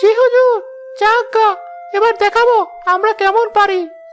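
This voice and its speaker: Faint music sits in the background of a cartoonish character voice delivered at a fairly slow pace. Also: woman. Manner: obsequious, whiny.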